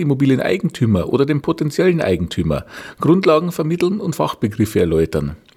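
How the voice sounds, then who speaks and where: A man with a Bavarian accent talks at a fairly quick pace in a medium pitch, his voice swinging very widely in pitch and showing vocal fry. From Bavaria, Regensburg. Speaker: real estate appraiser and podcast host. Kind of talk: podcast introduction monologue. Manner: formal.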